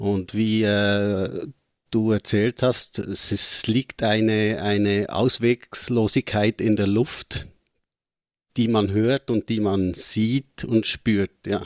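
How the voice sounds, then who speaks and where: A man with a Swiss German accent speaks very slowly at a fairly low pitch with monotone, flat intonation, on a very clean recording with a silent background and a dry, close sound with no echo. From Switzerland. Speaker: film podcast co-host. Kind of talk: casual chat.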